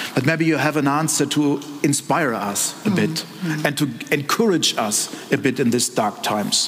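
Over noticeable background noise and audible room echo, a man with a German accent speaks at a moderate pace with a fairly high pitch and lively intonation. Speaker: politician. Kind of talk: panel discussion. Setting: stage with audience.

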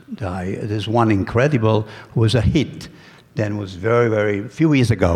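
A man speaks in a fairly low pitch at a moderate pace. His voice is somewhat breathy. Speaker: food artist. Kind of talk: presentation. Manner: halting.

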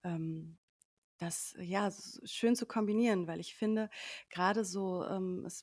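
On a very clean recording with a silent background and a dry, close sound with no echo, a woman speaks very slowly at a medium pitch with ordinary pitch variation. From Sauerland, Germany. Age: 30s. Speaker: media professional and coach in training. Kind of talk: casual chat. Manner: halting, many fillers.

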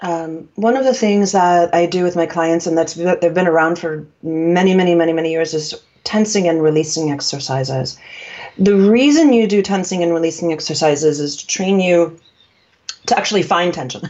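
A woman with an American accent speaks at a fairly quick pace, her pitch fairly low. Her pitch varies in an ordinary way, and it is an unremarkable speaking voice. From New York. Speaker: communication coach. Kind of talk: interview conversation, explanatory.

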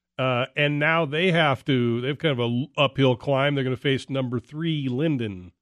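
A man's plain, everyday voice at medium pitch, moderately paced, with ordinary pitch variation and hardly any pauses. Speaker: radio host. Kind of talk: casual radio sports talk. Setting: radio studio.

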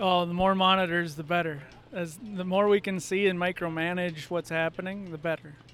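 Talking at a fairly quick pace in an Upper Midwest accent, a man with a high pitch keeps his intonation fairly even. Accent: Upper Midwest (Minnesota). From Minnesota. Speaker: farmer and ag salesman. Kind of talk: casual interview. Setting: farm show.

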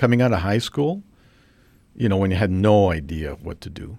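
On a very clean recording with a silent background, a man with a Canadian accent speaks at a fairly quick pace. His voice is very deep and low, with ordinary pitch variation. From Canada, British Columbia (Trail, West Kootenays). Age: 50s. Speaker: physicist. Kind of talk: casual interview.

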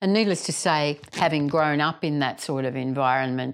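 With an Australian accent, a woman speaks at a very deep, low pitch for a woman. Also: very clean recording, silent background. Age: 60s. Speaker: general practitioner and podcast host. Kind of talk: casual group conversation over lunch. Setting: lunch table.

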